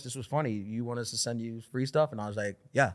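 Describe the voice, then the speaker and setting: A man talks at a very fast pace in a New York accent. The recording is very clean, with a silent background. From New York City (Queens). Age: 30s. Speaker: stand-up comedian. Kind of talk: casual chat.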